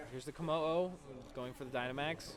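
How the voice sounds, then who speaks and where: Over music in the background, a man talks with ordinary pitch variation and audible room echo. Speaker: esports commentator. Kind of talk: live commentary. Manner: fast; animated.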